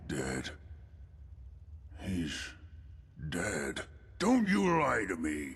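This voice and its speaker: A man growls very slowly in a put-on character voice, with long, frequent pauses over light background noise. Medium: video game. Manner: suspicious, intense.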